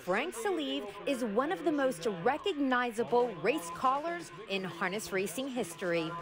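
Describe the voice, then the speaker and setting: With music in the background, a woman speaks at a fairly high pitch. Her pitch swings very widely. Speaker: TV show host. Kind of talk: TV segment narration.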